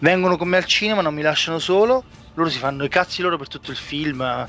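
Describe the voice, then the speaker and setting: A man speaking at a fairly quick pace, with music in the background. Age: 30s. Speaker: podcast host. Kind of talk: casual chat.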